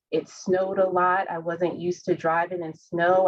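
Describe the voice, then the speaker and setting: A woman with a fairly low pitch and a Southern US accent. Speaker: healthcare professional. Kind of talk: panel discussion.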